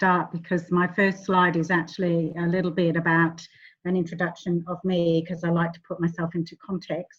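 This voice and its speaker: A somewhat breathy woman speaks at a fairly quick pace with a fairly low pitch. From England and Western Australia. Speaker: family therapist. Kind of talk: online workshop presentation. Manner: hesitant, frequent ums.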